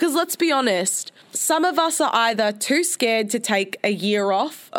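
A woman with an Australian accent speaks fairly slowly. Her fairly high voice swings very widely in pitch. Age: 20s. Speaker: podcast host. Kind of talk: casual solo monologue. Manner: animated.

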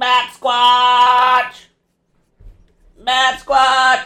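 This put-on character voice sits at a fairly high pitch with monotone, flat intonation. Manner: repeated creature-style cry.

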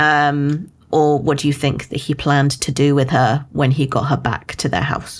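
Hardly pausing, a woman speaks in a very deep, low pitch with monotone, flat intonation. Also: moderate pace. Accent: British. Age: 20s. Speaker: book podcast co-host. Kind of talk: casual chat.

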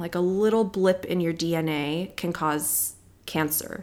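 At a moderate pace, a woman with a fairly low voice talks in an American accent with ordinary pitch variation. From Southern California (Palos Verdes). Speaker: dermatologist. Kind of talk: interview.

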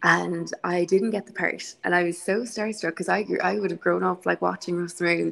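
Speaking at a fairly quick pace, a woman talks in a Connemara accent. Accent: Connemara Irish. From Connemara, County Galway, Ireland. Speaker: actor. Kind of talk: interview.

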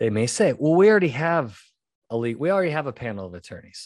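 A man with an animated tone and fairly high pitch talks at a fairly quick pace. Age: 40s. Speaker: podcast host, litigation psychologist. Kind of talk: casual solo monologue with advice.

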